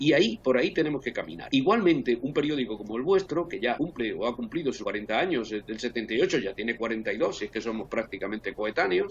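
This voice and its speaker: His pitch leaping very widely, a man races along at a very fast pace. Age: 70s. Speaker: advertising executive. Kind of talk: video call debate. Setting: video call.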